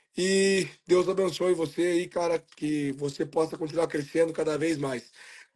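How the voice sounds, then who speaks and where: Over a quiet background, a man with a high pitch speaks at a fairly slow pace with fairly even intonation. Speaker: horse trainer. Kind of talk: live interview. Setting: livestream.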